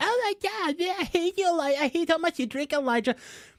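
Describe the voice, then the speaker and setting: A man puts on a character voice with extremely high pitch. He rattles along at a very fast pace. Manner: mocking, whiny, complaining.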